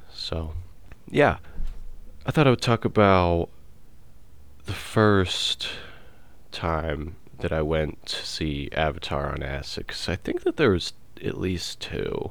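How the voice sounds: A man speaks at a slow pace in a low pitch, with lively intonation and long, frequent pauses.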